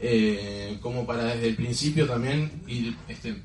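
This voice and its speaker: A man speaks at medium pitch with fairly even intonation. Audible room echo and noticeable background noise surround him. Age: 20s. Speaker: network marketing distributor. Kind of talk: motivational talk.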